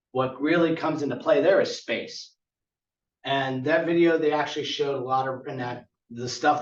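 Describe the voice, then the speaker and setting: At a fairly quick pace, a man uses a normal speaking voice with a fairly high pitch and fairly even intonation. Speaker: conference presenter on tiny house building. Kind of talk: conference presentation.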